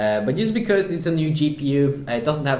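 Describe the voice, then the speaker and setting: A man talks at a fairly quick pace with ordinary pitch variation. Noticeable background noise and audible room echo surround his voice. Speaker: tech reviewer. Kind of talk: product review. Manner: hesitant, many filler sounds.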